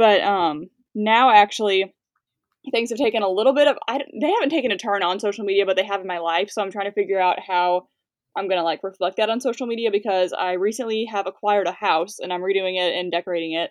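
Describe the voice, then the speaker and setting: At a very fast pace, a woman speaks in a medium pitch with ordinary pitch variation. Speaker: social media influencer. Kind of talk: casual interview. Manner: fast talker.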